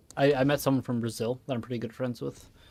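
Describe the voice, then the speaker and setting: Music plays behind a man with a Midwestern accent. He speaks at a moderate pace with fairly even intonation. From Wisconsin, US Midwest. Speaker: gaming streamer. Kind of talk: casual chat. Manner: halting.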